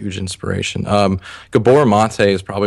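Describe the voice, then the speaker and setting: Against a quiet background, a man talks in a fairly low pitch with a monotone, flat intonation. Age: 20s. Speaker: personal trainer. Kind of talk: interview. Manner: concise and clear.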